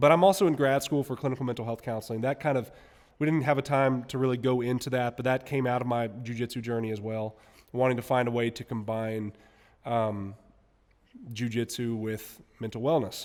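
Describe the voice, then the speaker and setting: In a normal speaking voice and an American accent, a man speaks at a fairly quick pace and medium pitch with fairly even intonation. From US South, Mississippi. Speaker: musician and jiu-jitsu competitor. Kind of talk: podcast interview.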